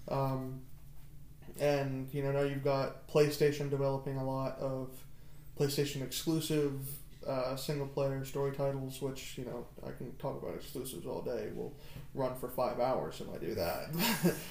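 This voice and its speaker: Over noticeable background noise, a man speaks at a moderate pace and a fairly high pitch with fairly even intonation. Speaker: podcast co-host. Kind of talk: casual chat. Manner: casual, jokey.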